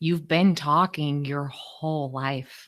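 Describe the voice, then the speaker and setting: Speaking at a very slow pace, a woman uses a very deep, low pitch with fairly even intonation. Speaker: communication coach and speaker. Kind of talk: online workshop presentation.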